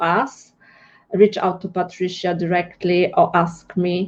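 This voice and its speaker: Very slow speech from a woman, medium in pitch. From Poland. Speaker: interviewer. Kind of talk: interview. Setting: live stream. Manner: halting.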